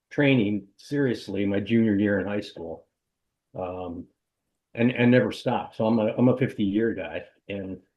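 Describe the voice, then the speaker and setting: The man's voice sits at a fairly low pitch with ordinary pitch variation. He keeps a moderate pace, with long, frequent pauses. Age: 60s. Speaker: triathlon coach and race director. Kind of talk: casual interview. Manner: halting, repetitive.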